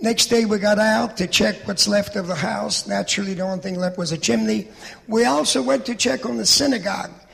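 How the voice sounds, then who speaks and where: Against noticeable background noise, a high-pitched man talks at a fairly quick pace with lively intonation. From Poland, small village. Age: 80s+. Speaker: Holocaust survivor speaker. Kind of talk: testimony.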